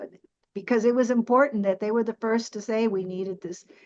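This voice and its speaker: With a normal speaking voice, a woman talks at a fairly high pitch with ordinary pitch variation. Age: 60s. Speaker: panelist. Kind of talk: panel discussion.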